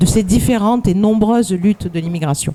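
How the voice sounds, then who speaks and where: A woman's intonation stays fairly even while noticeable background noise carries on around her. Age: 60s. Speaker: activist. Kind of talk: conference talk. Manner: halting.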